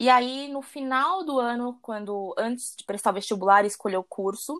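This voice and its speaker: Speaking at a fairly quick pace, a woman has an ordinary speaking voice in a very clean recording with a silent background. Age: 20s. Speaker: personal trainer. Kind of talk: interview conversation.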